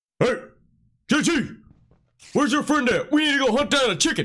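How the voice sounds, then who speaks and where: A man puts on a gruff character voice at an extremely high pitch, talking at a fairly quick pace. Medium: solo performance. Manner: gruff, hot-tempered.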